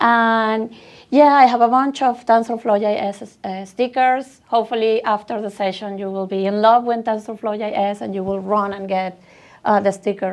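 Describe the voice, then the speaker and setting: A woman with a Venezuelan accent speaks at a fairly high pitch against a quiet background. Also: fairly even intonation, moderate pace. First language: Spanish. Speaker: tech speaker. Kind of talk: conference talk.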